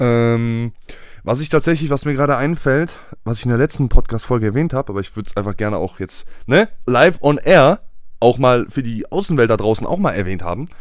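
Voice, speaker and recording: An unremarkable speaking voice belongs to a man at a medium pitch. He moves at a fairly quick pace with lively intonation. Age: 20s. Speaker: podcast co-host. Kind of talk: casual chat.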